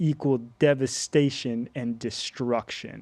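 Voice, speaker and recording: This is a very clean recording with a silent background of a man with an American accent. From US, Las Vegas, Nevada (early childhood in Florida). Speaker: podcast host. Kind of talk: personal testimony. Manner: halting, many fillers and restarts.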